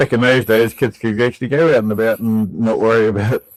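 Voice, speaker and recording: A man speaks with a New Zealand accent at a medium pitch and a moderate pace. His intonation is fairly even, and the sound is dry and close with no echo. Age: 60s. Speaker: civil engineer and rescue volunteer. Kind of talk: casual chat. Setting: barber chair.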